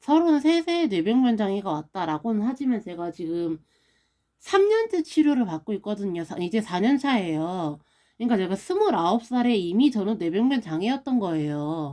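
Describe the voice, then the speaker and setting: Over a silent background in a very clean recording, a woman with a dark, mellow tone speaks at a medium pitch and moderate pace, her pitch swinging very widely. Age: 30s. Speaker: stroke survivor vlogger. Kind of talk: casual vlog monologue.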